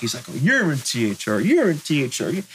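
Lively in intonation, a man speaks at a moderate pace in a fairly high pitch. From San Francisco Bay Area, North Bay. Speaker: graffiti writer. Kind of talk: interview.

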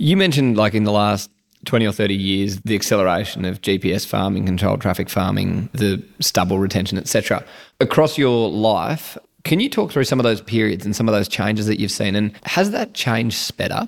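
The recording is very clean, with a silent background. A man speaks fairly quickly in a fairly low pitch with ordinary variation. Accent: Australian. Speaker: podcast host. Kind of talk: interview.

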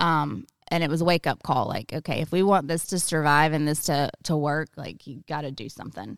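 On a very clean recording with a silent background, a woman with a very deep, low pitch talks at a fairly quick pace with hardly any pauses, using ordinary pitch variation, vocal fry and big swings in loudness. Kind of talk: casual chat.

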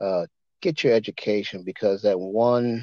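A man with an American accent at a fairly slow pace. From Maryland, Eastern Shore. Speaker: civil rights organization leader. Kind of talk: interview.

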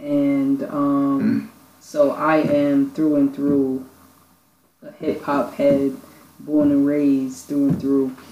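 Very slow delivery in a New York accent. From Brooklyn, New York. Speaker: youth program founder. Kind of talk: casual chat.

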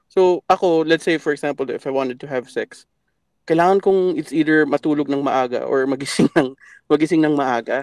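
In a plain, everyday voice, a man talks at a fairly quick pace with fairly even intonation and a fairly high pitch, the sound dry and close with no echo. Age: 30s. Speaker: caller. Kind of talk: casual chat. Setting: phone call.

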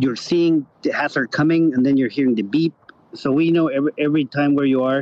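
In a Spanish accent, a man talks at a fairly quick pace with a fairly high pitch and fairly even intonation. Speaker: rally organizer. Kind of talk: casual interview chat.

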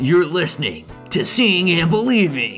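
A gravelly, put-on character voice at middle pitch moves at a moderate pace over clear music in the background.

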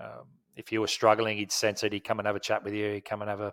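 A man speaks with an Australian accent at a fairly low pitch. The recording is very clean, and the background is silent. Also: dry, close sound with no echo. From Australia, Wollongong (New South Wales). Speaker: former cricketer and coach. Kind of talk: interview. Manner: halting, many fillers.

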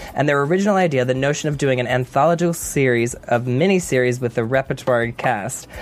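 Noticeable background noise runs under a man speaking at a fairly quick pace, medium in pitch with ordinary pitch variation. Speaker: TV after-show co-host. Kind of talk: casual chat. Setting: studio.

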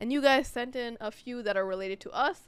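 An animated woman's voice with a New York accent. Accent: New York American. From New York, US. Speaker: podcast co-host. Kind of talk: casual chat.

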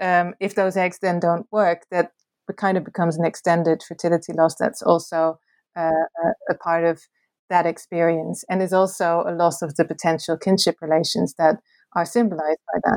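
Dry and close with no echo, the very clean recording has a silent background. A woman talks at a moderate pace in a fairly low, monotone, flat voice. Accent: Dutch. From Netherlands. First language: Dutch. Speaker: academic author. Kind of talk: interview.

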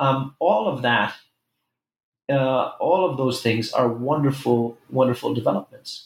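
A man's somewhat breathy, medium-pitched voice at a fairly slow pace. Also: ordinary pitch variation. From Israel, Jerusalem, partly raised in New York City. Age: 40s. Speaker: professor and author. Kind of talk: interview. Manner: hesitant, many fillers.

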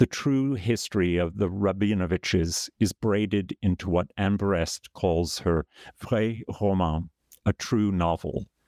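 A man talks at a fairly slow pace in a very deep, low pitch with a dark, mellow tone and very even loudness. The sound is dry and close with no echo, on a very clean recording with a silent background. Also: ordinary pitch variation. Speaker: podcast host. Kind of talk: interview.

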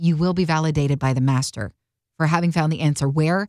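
A woman speaks fairly quickly in an ordinary speaking voice, her pitch fairly low. The recording is very clean, with a silent background. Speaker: podcast host. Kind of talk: casual chat about faith.

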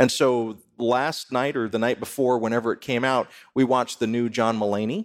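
The recording is very clean, the background silent. A plain, everyday voice talks at a moderate speed, its intonation fairly even. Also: man, medium pitch for a man. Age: 50s. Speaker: radio host and spirituality professor. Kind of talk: live podcast panel discussion; scripted topic introduction. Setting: live taping before an audience.

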